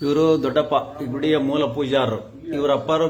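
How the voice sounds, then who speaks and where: A fairly high-pitched man's voice amid noticeable background noise and audible room echo. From north Karnataka, India (Davanagere district village). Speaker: vlogger. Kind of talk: casual walkthrough vlog.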